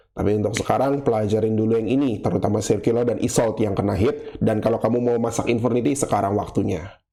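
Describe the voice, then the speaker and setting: A man talks at a very fast pace with fairly even intonation. His loudness stays very even, and room echo is audible. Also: medium pitch for a man, hardly any pauses. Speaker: gaming YouTuber. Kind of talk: casual monologue. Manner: casual, unscripted single take.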